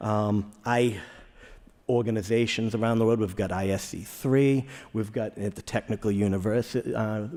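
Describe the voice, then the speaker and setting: Dark, mellow tone in a Boston accent at a moderate pace. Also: man. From Boston area, Massachusetts. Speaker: chemist, conference speaker. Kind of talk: conference talk. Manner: repetitive, halting in places.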